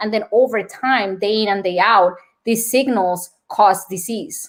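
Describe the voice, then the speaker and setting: With a Colombian accent, a woman talks using ordinary pitch variation. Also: very clean recording, silent background. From Colombia, Bogota. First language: Spanish. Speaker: nurse and wellness speaker. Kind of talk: podcast interview.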